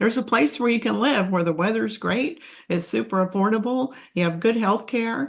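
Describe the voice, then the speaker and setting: This woman speaks with an American accent at a moderate pace, her fairly high pitch carrying lively intonation and some vocal fry. Her loudness stays very even. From Texas. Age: 70s. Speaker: relocation tour business owner, retiree expat. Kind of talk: interview.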